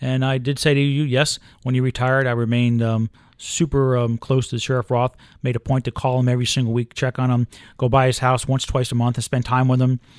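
Spoken at a fairly quick pace in a plain, everyday voice with an American accent, the clip is a very clean recording with a silent background and a dry, close sound with no echo. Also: man. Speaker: county sheriff. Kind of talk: interview.

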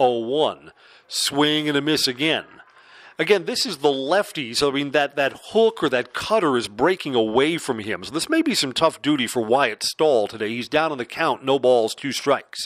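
With a normal speaking voice, a man talks at a moderate pace in a fairly high pitch and lively intonation. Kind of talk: live baseball play-by-play commentary.

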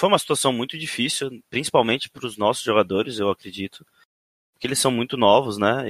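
A man talks at a fairly quick pace with fairly even intonation. The recording is very clean with a silent background, and the sound is dry and close with no echo. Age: 30s. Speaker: esports coach. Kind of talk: interview. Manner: halting, many repetitions.

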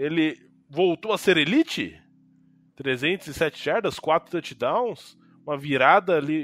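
Recorded with a dry, close sound and no echo, a man talks with ordinary pitch variation. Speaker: sports podcast host. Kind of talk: casual sports chat.

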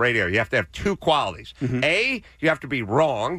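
A man with a medium-pitched, bright, sharp voice and vocal fry talks at a fairly quick pace with very wide pitch swings on a very clean recording with a silent background. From US West Coast, North Hollywood. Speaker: former radio host. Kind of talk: casual chat.

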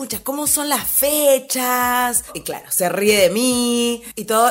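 A woman speaks at a fairly high pitch. Music plays in the background. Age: 40s. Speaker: podcast host, former fitness trainer and photographer. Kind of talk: personal storytelling monologue.

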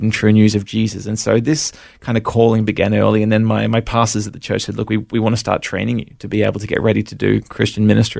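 A man's fairly low, flat monotone at a very fast pace, with an Australian accent. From Australia, Brisbane. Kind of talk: personal testimony interview.

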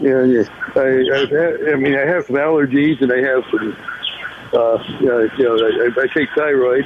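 Noticeable background noise surrounds a man whose loudness is very even and whose intonation stays fairly even. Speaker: caller. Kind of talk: phone-in talk. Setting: phone call. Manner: halting.

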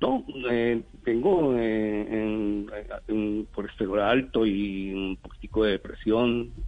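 A man's fairly low voice at a very slow pace, with fairly even intonation. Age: 60s. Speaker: neuropsychologist. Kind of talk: radio interview. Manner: halting, many fillers and repetitions.

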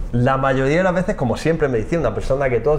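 A man talks at a very fast pace with ordinary pitch variation, and there is noticeable background noise. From Almería, Spain. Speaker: forensic geneticist and professor. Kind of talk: interview. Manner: halting.

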